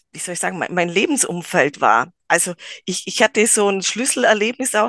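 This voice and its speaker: A woman's ordinary speaking voice, medium in pitch with ordinary pitch variation, dry and close with no echo, over a quiet background. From rural Germany. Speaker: psychomotor therapy trainer, gymnastics teacher. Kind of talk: casual interview.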